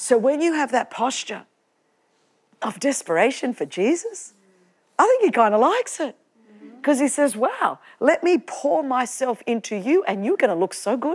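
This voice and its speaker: A woman with an Australian accent and a high voice moves at a moderate pace, swinging her pitch very widely and taking long, frequent pauses. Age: 50s. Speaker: preacher and podcast host. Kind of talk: sermon to a live church audience. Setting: church with audience. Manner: passionate, fervent, exhortative; humorous, chatty, with laughter.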